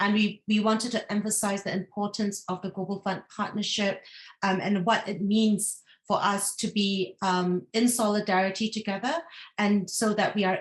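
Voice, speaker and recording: The woman's voice is somewhat breathy. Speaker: regional coordinator of a health advocacy network. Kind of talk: webinar presentation.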